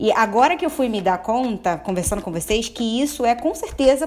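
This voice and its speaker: Noticeable background noise sits behind a woman whose fairly high voice has lively intonation. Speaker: podcast guest. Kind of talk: casual chat.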